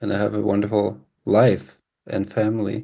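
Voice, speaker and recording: Against a quiet background, a man talks in a fairly low voice with a dark, mellow tone. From Germany and California. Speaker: jazz pianist. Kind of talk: interview. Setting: video call.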